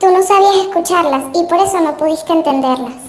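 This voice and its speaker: A woman puts on a character voice at an extremely high pitch. She talks fairly quickly, with faint music in the background. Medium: audio drama. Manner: gentle, civilized, patient.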